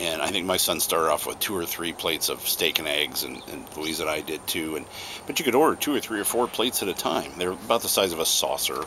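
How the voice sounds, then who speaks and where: Over noticeable background noise, a man talks fairly quickly in a relaxed tone with ordinary pitch variation. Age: 60s. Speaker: pipe-smoking video blogger. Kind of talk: casual chat. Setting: outdoors on home porch. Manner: relaxed, halting with repetitions.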